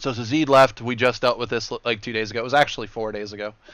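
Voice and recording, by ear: The speaker reads aloud in a natural voice.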